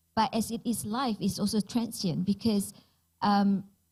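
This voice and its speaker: Her dark, mellow tone is somewhat breathy, and this woman speaks at a medium pitch with ordinary pitch variation. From Malaysia, Penang. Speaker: digital transformation expert. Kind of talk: panel discussion. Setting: stage with audience.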